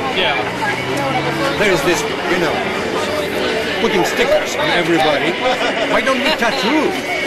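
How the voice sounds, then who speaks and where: Long, frequent pauses and a fairly slow pace amid loud background noise. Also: man. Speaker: ex-CIA agent, protest speaker. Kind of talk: protest speech. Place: street. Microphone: camera far.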